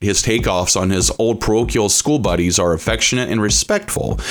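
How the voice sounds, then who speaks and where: An enthusiastic man with an American accent speaks with vocal fry and very wide pitch swings. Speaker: college radio host. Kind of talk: radio show introduction. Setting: studio. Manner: enthusiastic, announcer-style build-up; rambling with filler 'uh'.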